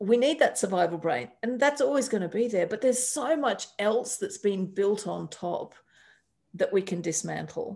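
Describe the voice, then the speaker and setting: At a moderate pace, a woman with an Australian accent speaks with very wide pitch swings. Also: medium pitch for a woman, quiet background. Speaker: astrologer and life coach. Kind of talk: interview conversation. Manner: animated.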